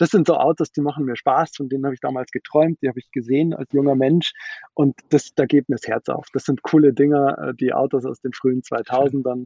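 Fairly quick and fairly even in intonation, a man speaks at a fairly high pitch in an ordinary speaking voice. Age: 30s. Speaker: startup founder and CEO. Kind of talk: interview.

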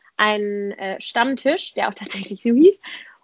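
A woman's voice with a fairly high pitch. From Germany, Frankfurt area. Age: 20s. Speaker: politician and student activist. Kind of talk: casual interview. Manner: hesitant, many fillers.

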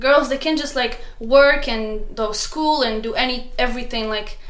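A woman with a high voice talks at a moderate pace. Audible room echo and noticeable background noise surround her. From Morocco, Casablanca. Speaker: student. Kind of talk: casual interview.

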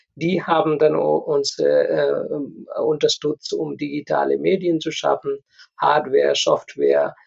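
A man speaks with a Nepali accent. His pace is very slow. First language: Nepali (speaking German). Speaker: community association leader. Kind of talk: interview. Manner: halting.

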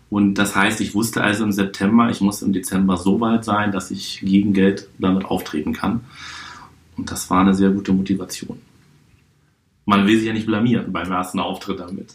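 A man talks in a flat monotone at a fairly low pitch. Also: moderate pace. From Hamburg, northern Germany. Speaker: juggler and card-trick performer, show producer. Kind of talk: podcast interview. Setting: hotel room.

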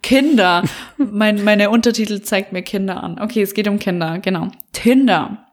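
At a medium pitch and a moderate pace, a woman talks with ordinary pitch variation. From Bavaria. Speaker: podcast co-host. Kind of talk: casual chat. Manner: animated.

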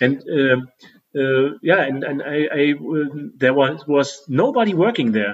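A man with a German accent, very slow delivery with hardly any pauses, fairly high pitch and ordinary pitch variation. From Germany. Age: 30s. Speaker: podcast co-host. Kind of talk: casual chat. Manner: halting.

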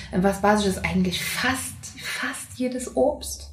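A woman speaks with a Saxon accent. Noticeable background noise runs throughout. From Saxony, Leipzig. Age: 30s. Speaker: singer. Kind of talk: casual chat.

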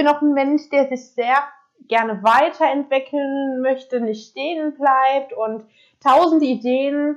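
Her pace is very slow. The woman's high voice keeps a fairly even intonation. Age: 20s. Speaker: podcaster and self-employed entrepreneur. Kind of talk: casual monologue. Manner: casual, many filler words.

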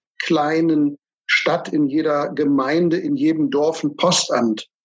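Recorded dry and close with no echo, a man speaks at a fairly slow pace. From Germany. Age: 40s. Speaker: financial advisor. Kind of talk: interview.

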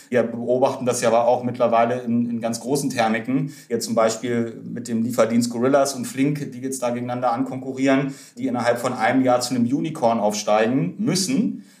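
Amid noticeable background noise and audible room echo, a man talks at a medium pitch and a fairly quick pace, with hardly any pauses and fairly even intonation. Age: 30s. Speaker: startup founder and investor. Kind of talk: podcast interview.

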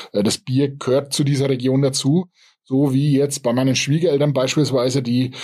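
A man's medium-pitched voice carries a dark, mellow tone and is somewhat breathy. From Upper Franconia, Germany. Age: 40s. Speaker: craft brewery owner and software developer. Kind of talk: interview. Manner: halting, many fillers.

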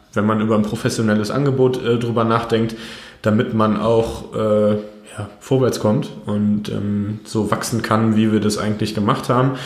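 Monotone, flat delivery from a man at medium pitch and moderate pace, with audible room echo. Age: 30s. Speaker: company founder and managing director. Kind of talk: interview. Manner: frequent hesitations (ähm).

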